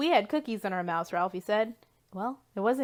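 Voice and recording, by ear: Natural, out-loud reading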